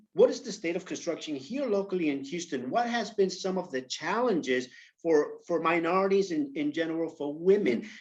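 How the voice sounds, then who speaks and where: The pace is moderate and the intonation lively. The speaker has a New York accent. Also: man. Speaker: panel moderator. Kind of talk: panel discussion. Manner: halting, many fillers.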